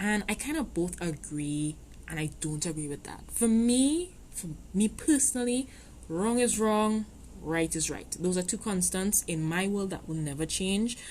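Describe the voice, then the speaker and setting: Ordinary pitch variation and a moderate pace mark this somewhat breathy voice. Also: woman. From Trinidad. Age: 20s. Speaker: podcast host. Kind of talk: podcast monologue. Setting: home recording. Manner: hesitant, many fillers.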